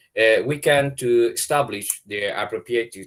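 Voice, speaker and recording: With a Spanish accent, a man speaks at a fairly slow pace. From Chile. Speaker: space researcher presenting a project. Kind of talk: webinar presentation. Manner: halting, many hesitations and restarts.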